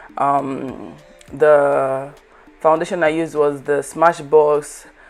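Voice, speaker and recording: Very deep and low, a woman's voice moves at a very slow pace in a monotone, flat intonation against noticeable background noise. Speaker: makeup artist and beauty youtuber. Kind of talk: makeup tutorial voiceover. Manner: halting, stuttering.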